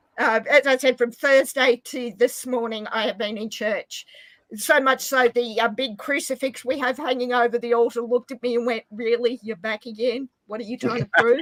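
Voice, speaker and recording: At a moderate pace, a woman with an Australian accent speaks in a high pitch and fairly even intonation, the sound dry and close with no echo. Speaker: live stream guest. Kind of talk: casual chat.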